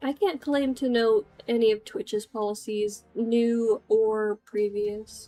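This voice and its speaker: A woman with an American accent speaks at a very slow pace with hardly any pauses, in a fairly high pitch with ordinary pitch variation. The sound is dry and close with no echo, and music plays in the background. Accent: sounds American. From United States. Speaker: streamer and artist. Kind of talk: casual live stream chat. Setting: live stream with background music.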